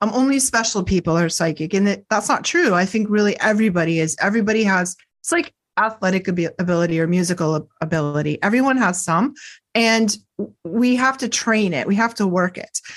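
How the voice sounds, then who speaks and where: A woman in an American accent talks at a fairly quick pace with a medium pitch and lively intonation. Hers is an unremarkable speaking voice, set against a quiet background. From US Northeast, near Boston, Massachusetts. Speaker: psychic counselor and Reiki teacher. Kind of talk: interview.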